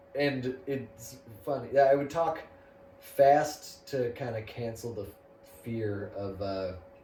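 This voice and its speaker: In a room with audible echo and noticeable background noise, a man speaks at a medium pitch and a very slow pace, with ordinary pitch variation and long, frequent pauses. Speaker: comedian. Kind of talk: casual chat.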